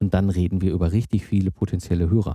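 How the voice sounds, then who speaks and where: A man with a dark, mellow tone talks at a fairly quick pace and fairly even intonation on a very clean recording with a silent background. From Germany, Ruhr area (Herdecke). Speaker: podcast host. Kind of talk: interview conversation.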